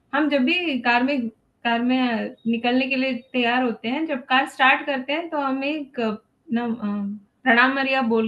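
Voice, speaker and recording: A high-pitched woman with a non-native accent. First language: not Hindi (speaking Hindi). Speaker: parent speaker at a parenting webinar. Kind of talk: webinar talk. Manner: halting, many fillers.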